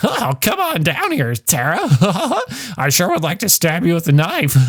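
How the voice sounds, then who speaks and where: The speaker adopts a put-on character voice and keeps a moderate pace. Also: man, high pitch for a man. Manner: dopey, taunting, throwing a fit.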